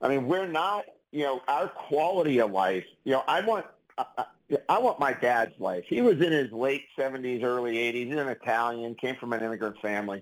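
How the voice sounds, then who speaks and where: The pace is moderate. The intonation is lively. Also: man, medium pitch for a man. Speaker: clinical pharmacist and author. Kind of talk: casual interview chat. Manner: conversational, chatty, animated.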